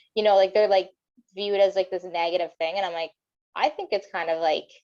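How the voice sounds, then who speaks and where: This woman talks at a very fast pace with a Canadian accent. Her pitch is medium and her intonation fairly even. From Windsor, Ontario, Canada. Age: 30s. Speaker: professional wrestler. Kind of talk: casual chat.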